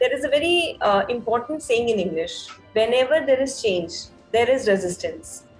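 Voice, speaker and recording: With music in the background, a woman speaks in a high pitch with lively intonation. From Udaipur, Rajasthan, India. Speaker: podcaster. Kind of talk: interview answer.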